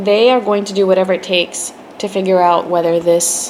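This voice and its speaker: Against noticeable background noise, a woman speaks fairly slowly in a medium pitch. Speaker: tarot reader. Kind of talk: tarot reading. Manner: hesitant, many fillers.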